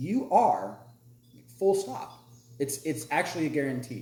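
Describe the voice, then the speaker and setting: With audible room echo, a man with an American accent speaks in a somewhat breathy voice with ordinary pitch variation. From US South. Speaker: podcast host. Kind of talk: casual chat.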